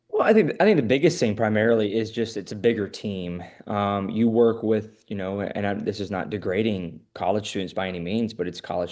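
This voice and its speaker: A man with an American accent has an unremarkable speaking voice, fairly low in pitch with ordinary pitch variation. The background is quiet. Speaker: freelance sports play-by-play broadcaster. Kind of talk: casual interview answer.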